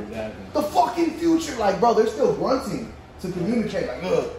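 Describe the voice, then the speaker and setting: Light background noise sits under a man speaking at a moderate pace. His voice has audible room echo. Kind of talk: casual banter. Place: shop. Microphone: phone near.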